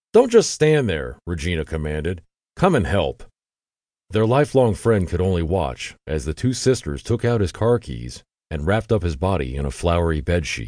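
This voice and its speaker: Over a quiet background, a man speaks at a moderate pace in a very deep, low pitch with very wide pitch swings, vocal fry and a dark, mellow tone. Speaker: audiobook narrator. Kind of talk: dramatic true-crime audiobook narration. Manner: tense, gripping narration with voiced dialogue.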